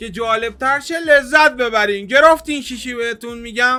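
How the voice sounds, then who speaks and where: A man's raised, projected voice in a Shirazi accent, extremely high pitched with ordinary pitch variation, animated tone, moderate pace, noticeable background noise. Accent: Shirazi Persian. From Iran, Shiraz. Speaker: YouTuber, reaction video host. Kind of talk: casual reaction chat.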